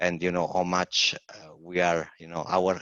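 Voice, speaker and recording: A man's very deep, low voice with an Italian accent, at a fairly slow pace. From Italy, Naples. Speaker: environmental historian. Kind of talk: webinar talk. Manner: halting.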